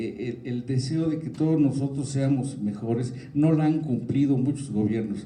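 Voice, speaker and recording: A man with a dark, mellow, somewhat breathy tone and medium pitch speaks at a fairly slow pace with hardly any pauses and fairly even intonation, with audible room echo. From Mexico. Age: 70s. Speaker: forum speaker on public policy. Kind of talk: talk to students at a forum. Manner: halting, many fillers.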